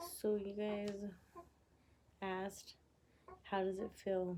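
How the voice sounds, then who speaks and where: Soft-spoken and at a very slow pace, a woman talks at a medium pitch. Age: 20s. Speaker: vlogger. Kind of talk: casual chat. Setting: home at night.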